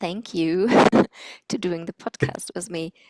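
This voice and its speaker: With a German accent, a woman speaks at a fairly low pitch. Her pace is fairly slow, in a dry, close sound with no echo. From Germany. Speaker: podcast co-host. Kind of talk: casual chat.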